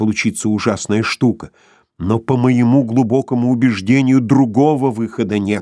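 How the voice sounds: The reading voice sounds natural. Its intonation stays fairly even.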